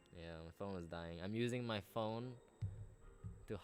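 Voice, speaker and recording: A man speaks with music playing in the background. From Belize. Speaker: medical student and youtuber. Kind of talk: casual livestream chat. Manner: animated.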